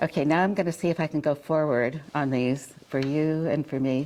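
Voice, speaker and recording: Speaking with an American accent, a woman has a very deep, low pitch and a dark, mellow tone, moving at a moderate pace with fairly even intonation. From northern California. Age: 80s+. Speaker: visual artist. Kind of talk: artist talk to students. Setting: college lecture room with audience. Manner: halting, many fillers.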